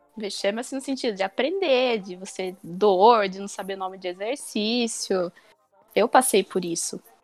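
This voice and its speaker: A woman's medium-pitched voice, an ordinary speaking voice, with ordinary pitch variation, big swings in loudness and a moderate pace. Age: 20s. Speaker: gym member. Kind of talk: casual chat.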